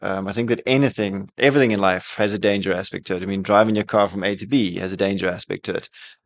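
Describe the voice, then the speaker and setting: Speaking at a very fast pace, a man with a fairly low pitch keeps his intonation fairly even, and the sound is dry and close with no echo. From South Africa. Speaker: bike shop owner and event founder. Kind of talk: casual interview.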